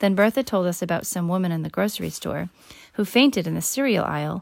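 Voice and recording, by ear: The voice reads aloud in a natural way with lively intonation.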